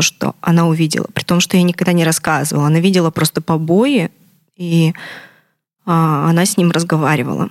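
The speech comes at a moderate pace with a dry, close sound and no echo. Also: woman. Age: 20s. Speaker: abuse survivor sharing her story. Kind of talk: testimony.

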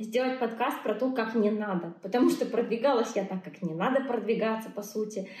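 Audible room echo and noticeable background noise surround a woman's fairly high voice with ordinary pitch variation. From Belarus. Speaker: blogger and coach. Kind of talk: casual interview. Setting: video call.

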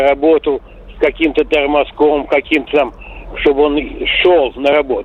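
Noticeable background noise can be heard. The speech unfolds at a fairly slow pace. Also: man. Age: 60s. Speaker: caller. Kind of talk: casual phone call. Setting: phone call.

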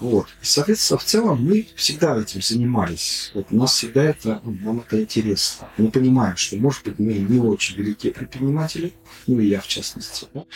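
In an ordinary speaking voice, a man with a medium pitch talks at a fairly quick pace with ordinary pitch variation. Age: 50s. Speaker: business club co-founder. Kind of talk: casual chat.

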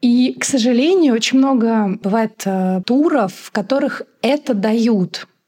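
Speaking at a very slow pace, a woman has a dark, mellow tone, a fairly high pitch, ordinary pitch variation and big swings in loudness. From Moscow, Russia. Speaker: magazine editor and travel blogger. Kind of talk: casual interview conversation.

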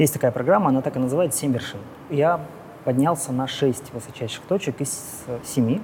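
Noticeable background noise beneath a man's fairly high pitch and moderate pace. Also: ordinary pitch variation. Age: 40s. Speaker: business executive and amateur triathlete. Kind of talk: casual chat.

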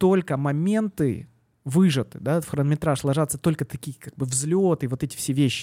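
A man's fairly high voice with ordinary pitch variation, in a very clean recording with a silent background and a dry, close sound with no echo. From southern Russia, Yeysk. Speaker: venture capital investor. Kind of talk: casual interview. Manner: hesitant, many fillers.

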